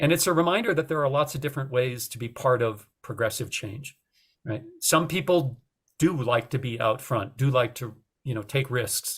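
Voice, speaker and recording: On a very clean recording with a silent background, a man with a medium-pitched, somewhat breathy voice speaks at a moderate pace with ordinary pitch variation. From North Dakota. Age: 60s. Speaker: retired journalism professor and author. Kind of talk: podcast interview. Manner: hesitant, many fillers.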